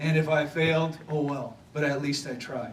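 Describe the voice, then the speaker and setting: A man with an American accent and fairly high pitch at a moderate pace, amid audible room echo and noticeable background noise. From Wisconsin (Thorpe). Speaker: former pro football player, banquet speaker. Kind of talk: motivational speech. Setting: banquet stage with audience. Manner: halting, many fillers.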